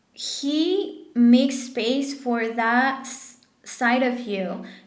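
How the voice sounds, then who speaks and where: Over noticeable background noise and audible room echo, a woman speaks at a fairly high pitch with ordinary pitch variation. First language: French or Spanish. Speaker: tarot reader. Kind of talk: tarot reading monologue. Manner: casual, halting with fillers.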